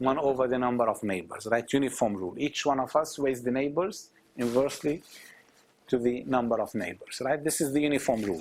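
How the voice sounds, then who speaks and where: This man has a normal speaking voice at a medium pitch, with ordinary pitch variation. He talks at a fairly quick pace. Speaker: professor. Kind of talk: lecture.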